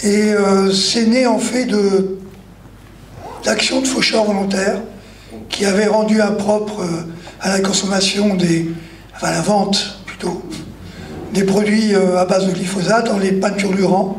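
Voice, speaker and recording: Speaking with a high pitch for a man, he delivers flat, monotone lines broken by long, frequent pauses, with audible room echo and noticeable background noise. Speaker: activist, anti-glyphosate campaigner. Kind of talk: panel discussion.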